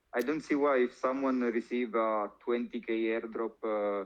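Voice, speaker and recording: A man's medium-pitched voice with an Italian accent and fairly even intonation. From Italy. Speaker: crypto influencer. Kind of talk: interview. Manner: halting, many fillers.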